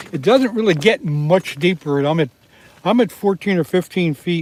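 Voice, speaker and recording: Amid noticeable background noise, a man speaks at a moderate pace with ordinary pitch variation, the sound dry and close with no echo. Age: 70s. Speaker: fishing livestreamer. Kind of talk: casual live stream chat. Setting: outdoors in ice fishing shelter. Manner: relaxed, chatty.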